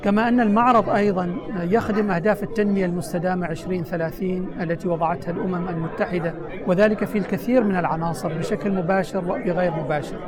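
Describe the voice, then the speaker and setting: A man at a high pitch and moderate pace with hardly any pauses and ordinary pitch variation, crowd noise behind him and audible room echo. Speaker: government minister. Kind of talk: interview. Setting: UN headquarters, New York. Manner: formal.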